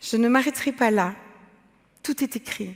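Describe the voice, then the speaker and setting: Recorded very cleanly against a silent background, a woman speaks at a fairly slow pace, her fairly high pitch showing ordinary variation. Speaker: artist and entrepreneur. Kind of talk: talk to a forum audience. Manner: loud, emphatic.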